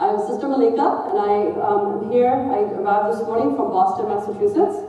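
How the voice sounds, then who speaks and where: A woman speaks at a moderate pace with a fairly high pitch and very wide pitch swings. Audible room echo and noticeable background noise fill the recording. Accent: American. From United States. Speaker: director of a relief charity, community speaker. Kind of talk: lecture. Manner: loud.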